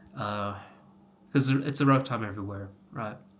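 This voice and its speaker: A man with an American accent talks at a moderate pace. Room echo can be heard. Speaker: health coach, vlogger. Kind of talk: casual vlog monologue. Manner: halting, many fillers.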